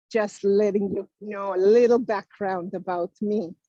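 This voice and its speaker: In a dry, close recording with no echo, a woman speaks with a Spanish accent. Her medium pitch carries a dark, mellow tone. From Uruguay, then Israel, then Canada. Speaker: virtual tour guide. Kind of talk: live guided tour on video call. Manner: animated.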